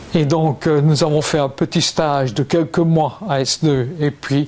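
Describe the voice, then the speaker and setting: A man's normal speaking voice at a fairly slow pace with ordinary pitch variation. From Belgium, Liège province (Wallonia). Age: 60s. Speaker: retired mayor and politician. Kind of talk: interview.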